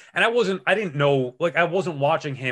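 A man talks with ordinary variation in pitch, the background around him quiet. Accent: New York. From Long Island, New York. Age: 40s. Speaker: sports radio host. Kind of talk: casual chat. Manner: animated.

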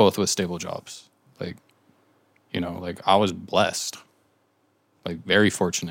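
A man with an American accent talks in a very deep, low pitch and a monotone, flat intonation. He leaves long, frequent pauses. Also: moderate pace. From Southern California. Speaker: graphic designer. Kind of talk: casual chat.

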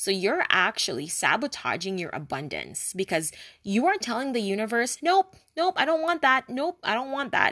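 A woman's bright, sharp voice sits fairly high in pitch and swings very widely, captured with a dry, close sound and no echo. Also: moderate pace. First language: not English. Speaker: spiritual wellness podcaster. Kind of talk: solo podcast monologue. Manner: casual rambling.

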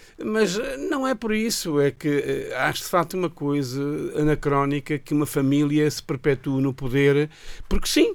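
This man has an ordinary speaking voice, pitched fairly high, with ordinary pitch variation. He talks at a fairly slow pace. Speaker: radio show guest. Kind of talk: casual chat. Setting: radio studio.

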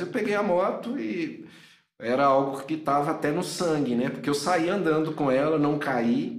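Audible room echo surrounds a man speaking at a moderate pace, his voice fairly high with ordinary pitch variation. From Minas Gerais, Brazil (Governador Valadares). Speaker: motorcycle traveler and photographer. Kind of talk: casual interview chat.

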